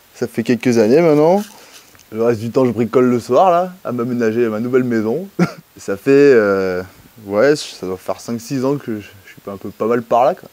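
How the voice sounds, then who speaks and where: Over noticeable background noise, a man of medium pitch talks at a moderate pace with lively intonation, big swings in loudness, and long, frequent pauses. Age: 20s. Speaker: seasonal and firewood worker. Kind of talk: casual chat.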